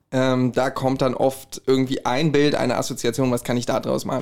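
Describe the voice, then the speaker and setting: A man at a medium pitch, fairly quick in pace, with monotone, flat intonation. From Hesse, Herborn. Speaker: musician and podcaster. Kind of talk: casual chat.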